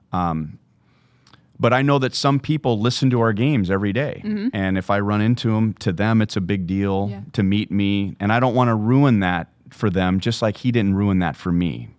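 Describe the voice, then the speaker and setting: At a moderate pace, a man talks in a normal speaking voice with fairly low pitch and ordinary pitch variation. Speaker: baseball play-by-play broadcaster. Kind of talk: podcast interview answer.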